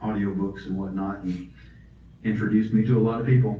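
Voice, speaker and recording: Audible room echo surrounds a man with an American accent whose somewhat breathy voice has a dark, mellow tone. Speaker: author and audiobook narrator. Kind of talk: author talk Q&A. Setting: library talk with audience.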